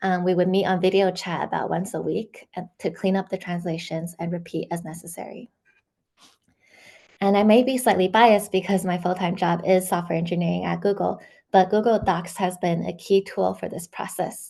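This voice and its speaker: A woman with a Chinese accent speaks at a medium pitch and moderate pace, her dark, mellow tone carrying vocal fry. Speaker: software engineer and amateur translator. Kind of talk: academic seminar presentation. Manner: hesitant with frequent um fillers.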